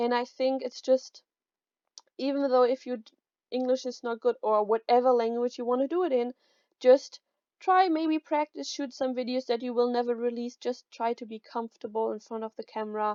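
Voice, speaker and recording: A woman with a German accent speaks at a moderate pace in a high, dark, mellow tone with ordinary pitch variation, recorded dry and close with no echo over a quiet background. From Germany. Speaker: YouTuber. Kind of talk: tutorial. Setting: home recording. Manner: casual. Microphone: new mic.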